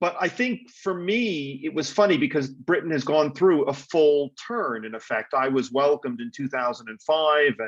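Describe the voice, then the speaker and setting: A man with an American accent speaks at a moderate pace with a fairly high pitch and lively intonation. He takes hardly any pauses. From US, San Francisco. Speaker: economics academic. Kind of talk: panel discussion. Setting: video call. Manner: halting, repeats words.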